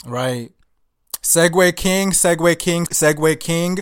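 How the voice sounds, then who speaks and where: A plain, everyday voice speaks with an American accent. The pace is moderate, with ordinary pitch variation. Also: man. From US, Nigerian immigrant parents. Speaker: podcast host. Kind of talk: casual chat.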